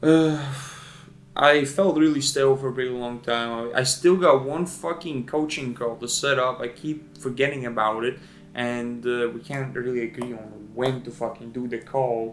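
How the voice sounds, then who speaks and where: A man with a non-native accent speaks at a moderate pace. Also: medium pitch for a man, ordinary pitch variation. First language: not English. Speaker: video editor and vlogger. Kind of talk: casual vlog monologue. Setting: at home in front of camera light. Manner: casual, profane, halting.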